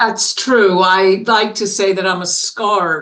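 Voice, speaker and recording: A woman with an American accent speaks at a medium pitch with fairly even intonation. Audible room echo surrounds her voice. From New York City. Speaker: business consultant and author. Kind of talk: interview.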